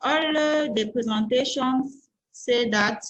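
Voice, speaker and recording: A woman talks fairly slowly in a somewhat breathy voice, her pitch varying in an ordinary way. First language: French. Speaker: scientist presenter. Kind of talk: conference presentation.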